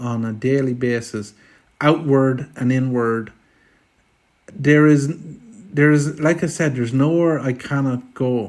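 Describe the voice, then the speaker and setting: On a very clean recording with a silent background, a man with a rural Irish accent speaks with fairly even intonation. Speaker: filmmaker. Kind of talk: interview. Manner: stammering repetitions.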